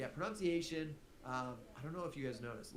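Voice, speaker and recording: Over audible room echo, a man talks at a very fast pace in an animated tone, his fairly high pitch showing ordinary variation. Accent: Midwestern. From US Midwest. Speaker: teacher streaming test review. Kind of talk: live-streamed exam review lesson. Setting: livestream. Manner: animated, conversational.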